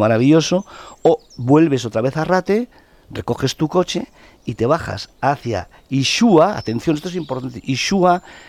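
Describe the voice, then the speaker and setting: In a dry, close sound with no echo, a man speaks with lively intonation at a moderate pace. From Basque Country, Eibar (Gipuzkoa). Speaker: journalist and former TV presenter. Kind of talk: casual chat. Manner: halting.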